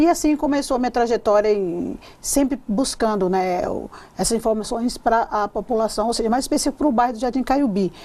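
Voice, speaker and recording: Speaking at a fairly quick pace, a woman uses a fairly high pitch with ordinary variation. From Bahia, Brazil (Ubatã). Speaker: state politician. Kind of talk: TV interview. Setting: TV studio. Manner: halting.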